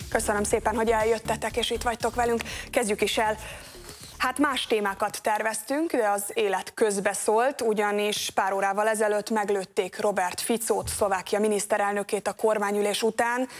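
A woman speaks at a moderate pace in a fairly high voice, her intonation fairly even and her loudness very even. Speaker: TV news host. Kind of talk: TV panel moderation. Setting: studio. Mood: serious, calm. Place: studio.

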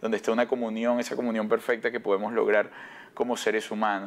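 The speaker is a man with medium pitch. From Venezuela. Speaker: broadcaster and actor; actor. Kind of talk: TV interview. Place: studio. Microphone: lapel.

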